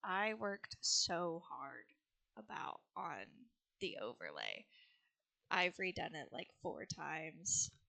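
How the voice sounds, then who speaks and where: A soft-spoken woman. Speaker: video game streamer. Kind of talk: casual live-stream chat. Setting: live stream at home.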